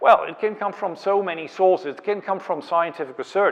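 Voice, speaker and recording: Pitched high, a man speaks with a non-native accent. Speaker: professor leading a masterclass. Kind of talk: lecture.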